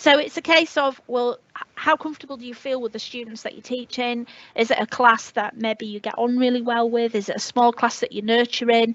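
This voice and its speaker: A woman with a northern English accent, high-pitched and fairly quick, with fairly even intonation, big swings in loudness and hardly any pauses. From northern England, Leeds. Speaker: teacher. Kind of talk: webinar talk. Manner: hesitant, many fillers.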